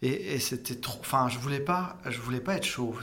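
A man speaks at a fairly quick pace and a medium pitch, with audible room echo and noticeable background noise. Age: 40s. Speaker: cosmetic surgery patient. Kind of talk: testimony. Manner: halting.

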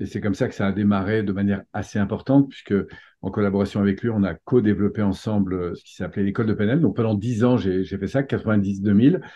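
A man speaks at a fairly quick pace in an ordinary speaking voice, fairly low in pitch, with fairly even intonation but big swings in loudness. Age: 50s. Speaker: personal development coach and trainer. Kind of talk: interview.

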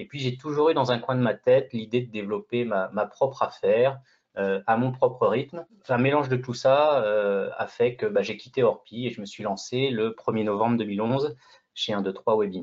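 The man's medium-pitched voice has ordinary pitch variation and a moderate pace. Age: 40s. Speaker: real estate agent. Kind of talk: interview. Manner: halting, with many repetitions.

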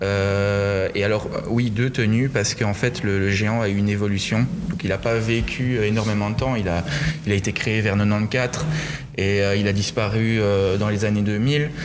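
Against noticeable background noise and audible room echo, a man talks at a fairly slow pace with a fairly low pitch, fairly even intonation and very even loudness. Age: 20s. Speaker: festival giant bearer. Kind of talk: interview. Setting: museum. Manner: hesitant.

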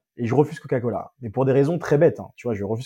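Against a quiet background, a man with a dark, mellow tone speaks very fast, somewhat breathy, with ordinary pitch variation. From France, Seine-Saint-Denis (Paris suburbs). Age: 30s. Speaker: entrepreneur. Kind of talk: casual interview. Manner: animated.

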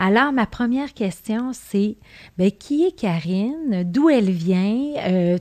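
Against a quiet background, a woman speaks with a Quebec accent at a very slow pace. Her pitch is fairly high and her intonation lively. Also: dry, close sound with no echo. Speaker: podcast host, business coach. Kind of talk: interview. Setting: in person studio.

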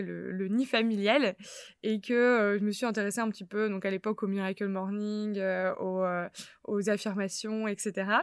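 In a very clean recording with a silent background, a plain, everyday voice talks at a moderate pace. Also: woman. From northern France, Lille. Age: 20s. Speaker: podcast host. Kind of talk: casual chat.

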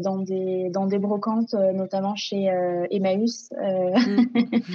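Very slowly, a woman with a medium pitch talks with fairly even intonation. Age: 20s.

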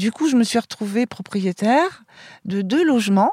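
A woman's fairly slow speech with a dark, mellow tone in a dry, close sound with no echo. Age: 60s. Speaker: interviewee, former nurse. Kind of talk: interview. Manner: hesitant.

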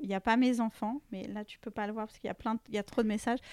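A woman speaks in a monotone, flat intonation at a fairly high pitch. The sound is dry and close with no echo, in a very clean recording with a silent background. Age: 40s. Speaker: fashion entrepreneur. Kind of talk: casual interview.

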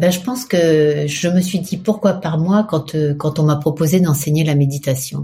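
With hardly any pauses, a woman speaks at a fairly slow pace in a very deep, low voice that is dark, mellow and somewhat breathy, with ordinary pitch variation. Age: 60s. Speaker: PR agency head and meditation teacher. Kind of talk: interview.

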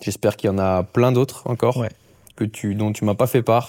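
A man speaks at a fairly quick pace in a fairly low, dark and mellow voice with fairly even intonation. The recording is very clean, with a silent background. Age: 30s. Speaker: podcast host and fitness coach. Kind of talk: casual interview. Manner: halting.

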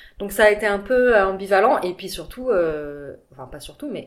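Amid noticeable background noise, a woman talks at a medium pitch with lively intonation. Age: 40s. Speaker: entrepreneur and mother. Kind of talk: casual interview.

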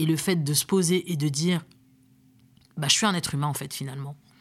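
Speaking at a moderate speed, the woman has a very deep, low pitch. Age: 30s. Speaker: career coach. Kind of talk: interview. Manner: hesitant with many fillers.

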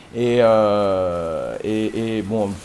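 The man's medium-pitched voice, with ordinary pitch variation, comes through noticeable background noise. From southern France, Sète area. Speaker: DJ and web radio co-founder. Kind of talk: casual chat.

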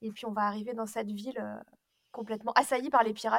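With flat, monotone intonation, a woman speaks at a fairly high pitch. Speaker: podcast co-host. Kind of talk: casual chat.

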